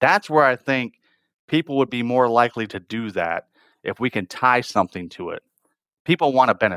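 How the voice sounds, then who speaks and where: An American man has an unremarkable speaking voice of medium pitch with lively intonation. The recording is very clean with a silent background and a dry, close sound with no echo. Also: moderate pace. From northern Michigan, rural. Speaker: plastics manufacturing executive. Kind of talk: interview conversation.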